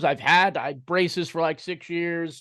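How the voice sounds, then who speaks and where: A man with an American accent speaks at a moderate pace. His voice is high-pitched and animated in tone. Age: 30s. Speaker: sports podcast host. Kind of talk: casual chat.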